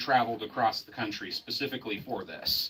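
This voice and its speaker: A man speaks at a moderate pace. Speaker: geology lecturer. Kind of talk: public presentation. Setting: museum with live audience. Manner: loud.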